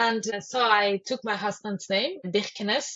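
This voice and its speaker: A woman with a Spanish accent. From Spain. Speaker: social services director. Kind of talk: podcast interview. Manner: halting.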